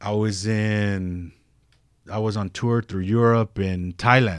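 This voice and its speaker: In an unremarkable speaking voice with an American accent, a man talks at a fairly low pitch with fairly even intonation, on a very clean recording with a silent background. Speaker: tattoo artist. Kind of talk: casual interview chat. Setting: studio.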